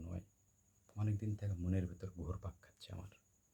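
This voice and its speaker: A man's very deep, low voice comes through somewhat breathy, with a dark, mellow tone. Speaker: vlogger. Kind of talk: personal storytelling monologue. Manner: halting, with many pauses and fillers.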